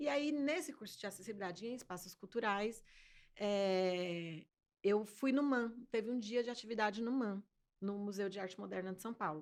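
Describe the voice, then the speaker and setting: This woman has an unremarkable speaking voice, medium-pitched with ordinary pitch variation, and she moves at a moderate pace. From Brazil, Fortaleza (early childhood abroad). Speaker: sign language interpreter. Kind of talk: interview.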